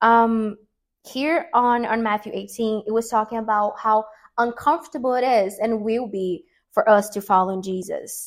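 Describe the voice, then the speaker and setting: At a fairly slow pace, a woman with a Portuguese accent speaks at a fairly high pitch with ordinary pitch variation. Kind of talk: casual religious talk video. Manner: halting, with many fillers.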